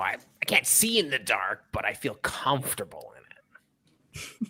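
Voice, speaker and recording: A raspy put-on character voice from a man, fairly high-pitched, at a moderate pace. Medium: actual play. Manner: hesitant, stumbling.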